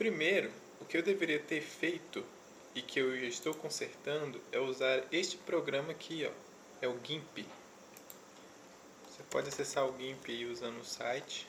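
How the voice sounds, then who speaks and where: Soft-spoken, this man talks at a moderate pace with a fairly high pitch and ordinary pitch variation. He leaves long, frequent pauses. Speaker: web development youtuber. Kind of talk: tutorial. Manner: soft-spoken, speaking very quietly; casual.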